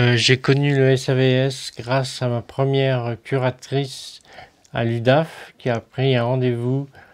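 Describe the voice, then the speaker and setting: Very slowly, a man speaks at a medium pitch in a monotone, flat intonation. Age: 50s. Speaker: day service user. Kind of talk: personal testimony.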